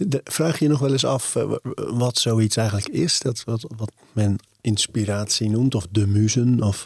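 Recorded dry and close with no echo, a man speaks at a fairly slow pace and medium pitch. His voice is somewhat breathy, with ordinary pitch variation and very even loudness. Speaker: podcast host. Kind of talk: interview.

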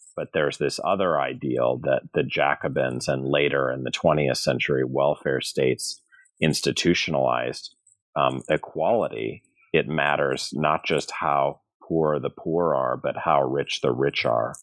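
Fairly slow and fairly even in intonation, a man speaks with an American accent. His pitch is very deep and low. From US Midwest, St. Louis, Missouri. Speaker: law and history professor, author. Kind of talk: interview about his book. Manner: halting, many fillers and repeated words.

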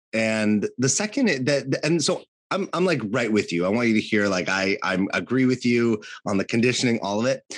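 A man with an American accent uses an ordinary speaking voice at medium pitch, with lively intonation and very even loudness. He talks at a moderate pace over a quiet background. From California. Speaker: podcast co-host and coach. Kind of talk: casual chat.

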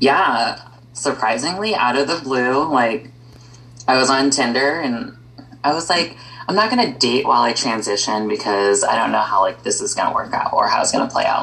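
A woman speaks with an American accent at a moderate pace, noticeable background noise around her. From US Midwest. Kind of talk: casual chat.

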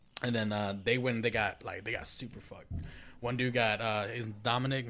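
In an American accent, a man talks at a fairly quick pace with a bright, sharp tone and monotone, flat intonation. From Minnesota. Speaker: podcast co-host. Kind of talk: casual chat.

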